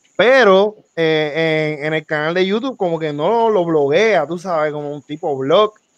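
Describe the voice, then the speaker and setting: A man's plain, everyday voice, fairly high in pitch, with ordinary pitch variation, a fairly slow pace and hardly any pauses. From Puerto Rico, Florida municipality. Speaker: podcast co-host. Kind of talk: casual chat.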